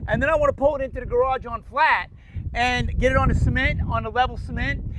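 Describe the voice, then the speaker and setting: A man races along at a very fast pace with noticeable background noise in the mix. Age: 60s. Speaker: DIY mechanic and painter. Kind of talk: casual chat; tutorial.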